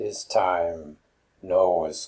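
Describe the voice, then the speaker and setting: A man's put-on character voice at a very slow pace. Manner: broken English.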